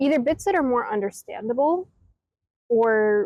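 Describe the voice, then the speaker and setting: An unremarkable speaking voice from a woman with an American accent, lively intonation and a moderate pace. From Brooklyn, New York, USA. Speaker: voice actor. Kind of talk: interview answer.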